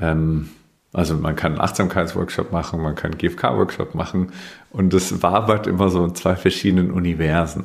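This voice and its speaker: Speaking at a fairly slow pace with a slight Bavarian accent, a man's very deep, low voice carries fairly even intonation. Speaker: communication trainer. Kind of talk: interview conversation.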